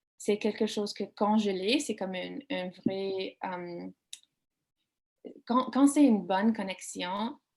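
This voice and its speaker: With an English accent, a woman speaks at medium pitch and a fairly slow pace. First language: English (speaking French). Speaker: author. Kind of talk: panel discussion. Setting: online video event. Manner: halting, searching for words.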